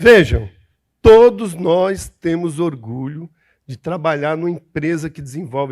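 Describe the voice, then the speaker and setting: A fairly slow delivery with lively intonation and an animated tone, on a very clean recording with a silent background. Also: man. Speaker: panelist, oil workers' organization representative. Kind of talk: panel speech.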